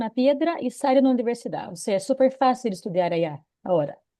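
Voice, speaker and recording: A woman's high, dark, mellow voice in a Brazilian accent, with lively intonation, a fairly quick pace and a quiet background. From Brazil, interior of São Paulo state. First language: Portuguese (speaking Spanish). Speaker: SAP consultant and consulting firm owner. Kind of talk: seminar talk. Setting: online seminar video call.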